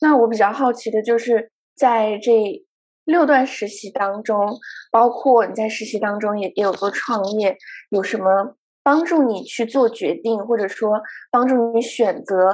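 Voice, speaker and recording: A woman speaks with a normal speaking voice at a fairly slow pace. Her pitch is fairly high, with ordinary variation. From China, Guangzhou. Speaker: podcast host. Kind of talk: casual chat.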